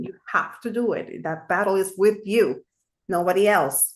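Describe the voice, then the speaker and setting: A woman speaks at medium pitch in a Spanish accent with ordinary pitch variation. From Puerto Rico. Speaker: amateur radio operator. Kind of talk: casual chat.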